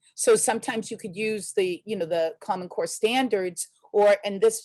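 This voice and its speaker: A woman with a medium-pitched voice talks with ordinary pitch variation, keeping a moderate pace. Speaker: teacher presenter. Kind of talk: webinar presentation. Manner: hesitant, many fillers.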